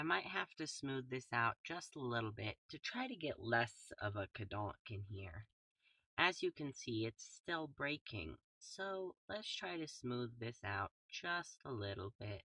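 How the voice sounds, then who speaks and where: Soft-spoken, a man speaks at a fairly slow pace in a bright, sharp tone. His pitch swings very widely. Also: medium pitch for a man. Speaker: gaming streamer. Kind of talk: gameplay commentary. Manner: soft, ASMR-like voice.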